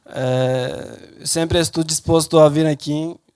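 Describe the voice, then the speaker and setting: A man with a non-native accent speaks at a very slow pace. His fairly high voice stays monotone, with flat intonation. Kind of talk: talk to an audience. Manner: halting.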